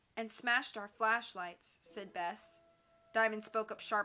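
The clip carries a natural reading voice.

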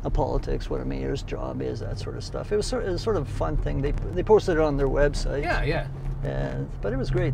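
The man's voice has a dry sound with no echo, with noticeable background noise behind it. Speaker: interview guest, former mayor. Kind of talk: interview answer. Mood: relaxed, amused storytelling. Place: car. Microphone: camera far.

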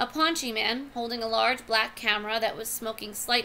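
A person is reading the text aloud in a natural voice.

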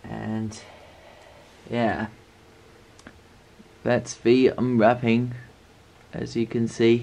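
A man at medium pitch with a dark, mellow tone, monotone, flat intonation, vocal fry, a very slow pace and long, frequent pauses

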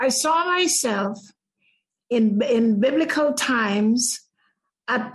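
Somewhat breathy, a woman's voice with lively intonation. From Guyana. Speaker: spiritual therapist and near-death experiencer. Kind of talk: interview testimony.

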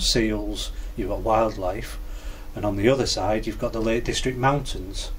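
A man with a Cumbrian accent over light background noise. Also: moderate pace. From Cumbria, England; England. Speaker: biker; interviewee. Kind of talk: interview answer. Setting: garage. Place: garage.

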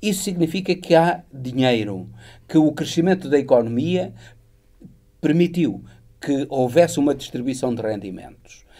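Over a quiet background, a man with a dark, mellow tone speaks at a moderate pace, his lively intonation marked by long, frequent pauses. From Portugal. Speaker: political commentator. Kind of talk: political analysis interview. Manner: hesitant, many filler sounds. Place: studio. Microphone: lapel.

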